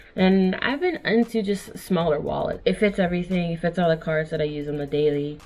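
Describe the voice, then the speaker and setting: Over faint background music, a woman speaks in a fairly low voice with ordinary pitch variation. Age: 20s. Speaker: vlogger. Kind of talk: casual talk to camera. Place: home room.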